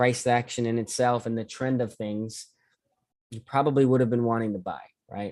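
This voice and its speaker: On a very clean recording with a silent background, a man with an American accent speaks at a medium pitch in a monotone, flat intonation. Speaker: forex trading mentor. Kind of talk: live trading tutorial. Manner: fast; casual.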